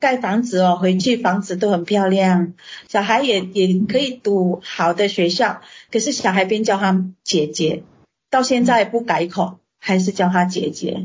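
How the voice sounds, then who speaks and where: A woman speaks at a fairly slow pace in a medium pitch, her voice somewhat breathy, with ordinary pitch variation and very even loudness. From Indonesia. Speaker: restaurant owner and translator. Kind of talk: interview. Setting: video call. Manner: halting.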